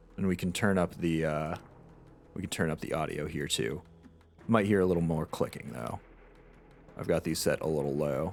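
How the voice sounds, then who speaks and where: The speaker has vocal fry and ordinary pitch variation at a moderate pace. Long, frequent pauses break up the speech. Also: man, very deep, low pitch for a man. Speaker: video game streamer. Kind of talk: live game stream commentary.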